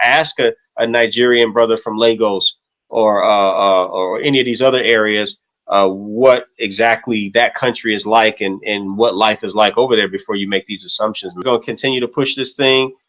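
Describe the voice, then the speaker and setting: Speaking at a moderate pace, this man has an ordinary speaking voice, a medium pitch and fairly even intonation. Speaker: interviewer. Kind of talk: casual interview talk.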